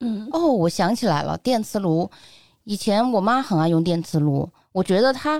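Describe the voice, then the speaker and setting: An animated woman's voice with very wide pitch swings and very even loudness. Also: medium pitch for a woman, moderate pace, very clean recording, silent background. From Sichuan, Neijiang. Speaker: food and lifestyle blogger. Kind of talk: casual chat.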